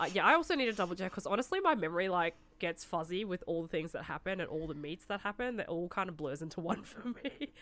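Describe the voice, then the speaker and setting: A woman with an Australian accent talks at a very fast pace with hardly any pauses. Her medium pitch carries lively intonation. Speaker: podcast co-host. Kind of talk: casual chat.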